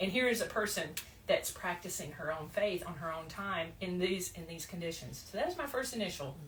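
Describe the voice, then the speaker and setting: A woman with an American accent speaks at a fairly quick pace with lively intonation. Noticeable background noise and audible room echo fill the recording. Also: medium pitch for a woman. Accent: Southern, less pronounced than before. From US South, Blount County, Alabama. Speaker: podcast host, psychotherapist and coach. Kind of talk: casual chat. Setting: podcast recording with two guests.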